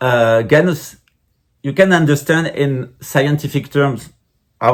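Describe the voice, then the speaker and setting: Somewhat breathy male voice, fairly high in pitch, with ordinary pitch variation and a moderate pace. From France. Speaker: Buddhist lama, spiritual teacher. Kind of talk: lecture. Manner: halting, many hesitations.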